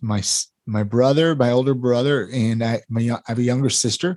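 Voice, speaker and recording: With an American accent, a man talks in an ordinary speaking voice at medium pitch and with fairly even intonation, the sound dry and close with no echo on a very clean recording with a silent background. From California (Ventura). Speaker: podcast producer and realtor. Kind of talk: casual interview chat.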